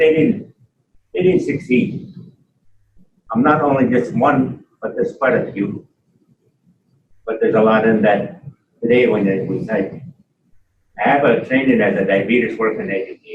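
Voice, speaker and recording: A man's somewhat breathy, medium-pitched voice with a Canadian accent, lively intonation, a moderate pace and long, frequent pauses, plus audible room echo. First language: Mohawk. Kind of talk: conference talk. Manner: halting.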